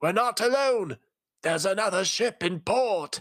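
A man puts on a character voice with a high pitch. He speaks at a moderate pace with lively intonation.

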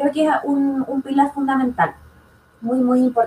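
A woman over noticeable background noise. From southern Chile. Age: 20s. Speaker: nursing student and political candidate. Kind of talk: panel discussion.

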